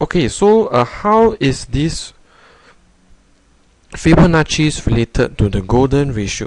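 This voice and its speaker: A man speaks at a fairly slow pace with long, frequent pauses. His fairly high voice makes very wide pitch swings. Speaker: math tutor. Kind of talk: tutorial. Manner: halting, many fillers.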